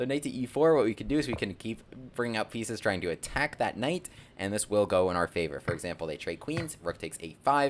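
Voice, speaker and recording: Talking at a very fast pace, a man with a medium pitch makes very wide pitch swings. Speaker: chess content creator and gambit teacher. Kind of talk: chess tutorial. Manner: animated.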